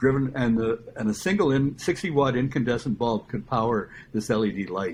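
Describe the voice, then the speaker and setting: A man's normal speaking voice at a medium pitch, fairly quick, with lively intonation. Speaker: solar customer, retired computer professional. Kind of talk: casual interview. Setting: podcast.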